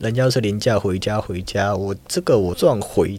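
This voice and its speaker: This man has a plain, everyday voice with a fairly low pitch and ordinary pitch variation. The recording is very clean, with a silent background. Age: young. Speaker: university student. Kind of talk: interview.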